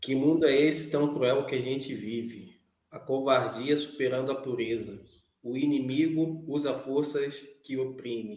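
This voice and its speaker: A man at a medium pitch, fairly slow and fairly even in intonation, with audible room echo. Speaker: show commentator. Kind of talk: casual chat.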